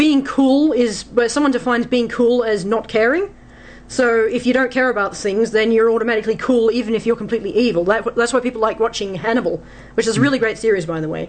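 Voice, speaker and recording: With an Australian accent, a woman talks at a very fast pace, her fairly high voice showing ordinary pitch variation. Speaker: fantasy author. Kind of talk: radio talk show. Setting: studio.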